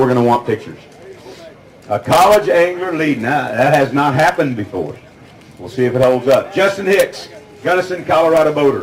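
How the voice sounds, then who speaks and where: A man with a slight Oklahoma accent talks at a fairly quick pace, his fairly high pitch carrying lively intonation. Noticeable background noise and audible room echo surround him. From California, San Joaquin Valley. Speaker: tournament weigh-in emcee. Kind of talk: live weigh-in announcing. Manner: animated.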